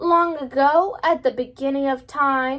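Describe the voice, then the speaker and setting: A woman's put-on character voice, high-pitched and at a fairly slow pace. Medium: read story.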